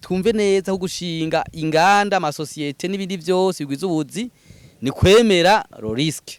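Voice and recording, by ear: The speaker talks at a fairly quick pace with ordinary pitch variation and a clear, smooth tone. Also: man, high pitch for a man.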